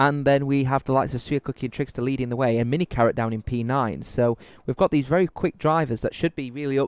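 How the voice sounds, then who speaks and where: A man with a British accent talks at a very fast pace. The sound is dry and close, with no echo. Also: very clean recording, silent background. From UK. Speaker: sim racing commentator. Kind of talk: live commentary. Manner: animated.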